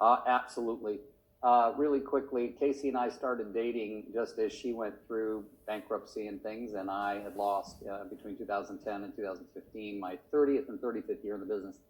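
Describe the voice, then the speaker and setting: Fairly even intonation and a fairly quick pace in an unremarkable speaking voice. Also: man, medium pitch for a man. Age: 60s. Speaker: real estate agent. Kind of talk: testimony.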